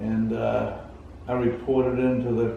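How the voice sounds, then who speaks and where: With an American accent, a man talks at a medium pitch. Noticeable background noise is present. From Massachusetts, USA. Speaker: Korean War veteran, paratrooper. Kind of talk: interview answer.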